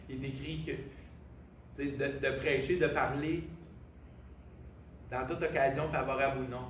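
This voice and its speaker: A man in a Quebec accent speaks at a fairly quick pace and medium pitch with fairly even intonation, amid noticeable background noise and audible room echo. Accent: Québécois French. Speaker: preacher. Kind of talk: sermon.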